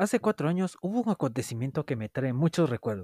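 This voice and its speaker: A man speaks with lively intonation and a dark, mellow tone. The recording is very clean with a silent background and a dry, close sound with no echo. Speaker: podcaster. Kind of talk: personal storytelling.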